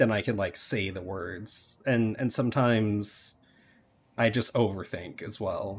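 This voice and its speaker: Low-pitched and somewhat breathy, a man speaks at a fairly slow pace with fairly even intonation. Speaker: game streamer. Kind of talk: casual chat. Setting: live stream. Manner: halting.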